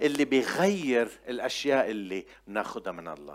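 On a very clean recording with a silent background, a man of medium pitch sounds animated, with very wide pitch swings and vocal fry. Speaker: preacher. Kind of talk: sermon. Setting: church with congregation. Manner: animated, exhortative.

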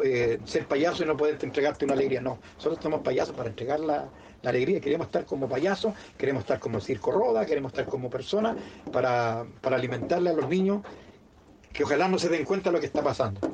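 Very fast and with lively intonation, a man speaks at a fairly high pitch and very even loudness. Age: 50s. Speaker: circus clown. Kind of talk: interview. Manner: halting, repeats words.

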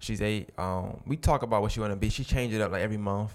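Very fast speech from a man with a fairly low pitch and an American accent. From Brooklyn, New York. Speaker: podcast host, guest here. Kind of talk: casual interview conversation.

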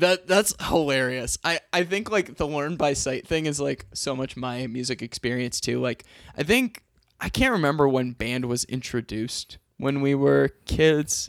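A man with an unremarkable speaking voice, fairly high in pitch with ordinary pitch variation, talks at a fairly slow pace in a very clean recording with a silent background and a dry, close sound with no echo. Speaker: podcast host, teacher. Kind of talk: casual chat.

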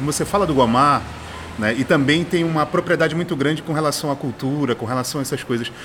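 Noticeable background noise is present. Through it, a man talks with a fairly high pitch. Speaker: podcast host. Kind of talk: casual interview. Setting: outdoors at a street bar. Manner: halting.

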